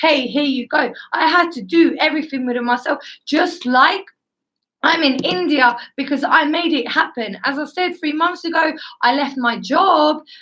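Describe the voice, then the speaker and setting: A woman speaks in a raised, projected voice with a high pitch and a bright, sharp tone. Her pitch varies in an ordinary way at a moderate pace. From Estonia, moved to the UK at eleven. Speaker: guest speaker, former beauty professional. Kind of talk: personal testimony in an interview. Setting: live stream.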